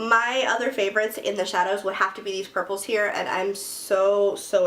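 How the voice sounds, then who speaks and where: Noticeable background noise sits behind a woman speaking at a medium pitch. Her tone is animated and her pace fairly quick. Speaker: beauty youtuber. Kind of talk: makeup review and tutorial. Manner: fast.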